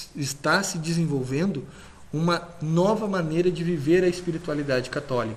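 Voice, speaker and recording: Audible room echo and noticeable background noise fill the recording. A man speaks at a fairly high pitch with ordinary pitch variation. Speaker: lecturer. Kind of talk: lecture.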